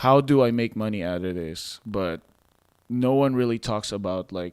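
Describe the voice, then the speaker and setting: A man speaks with a non-native accent and ordinary pitch variation. The recording is very clean, with a silent background. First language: not English. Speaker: podcast host. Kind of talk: interview.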